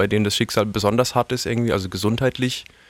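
A man with an unremarkable speaking voice talks at a medium pitch with fairly even intonation, the sound dry and close with no echo. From Karlsruhe, Baden, Germany. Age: 30s. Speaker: singer-songwriter. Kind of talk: interview.

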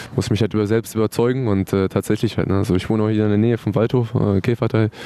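A man at a very fast pace and fairly low pitch, with noticeable background noise. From Hannover area, northern Germany. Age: 20s. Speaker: professional footballer. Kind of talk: interview.

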